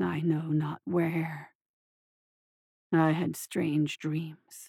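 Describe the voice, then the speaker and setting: Very slow and soft-spoken, a raspy put-on character voice at middle pitch holds a monotone, flat intonation. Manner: murmuring, dreamy.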